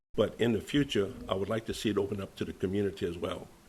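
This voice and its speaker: A man's very fast, somewhat breathy speech, fairly low in pitch, with fairly even intonation. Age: 70s. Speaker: veterans nonprofit founder. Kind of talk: radio interview.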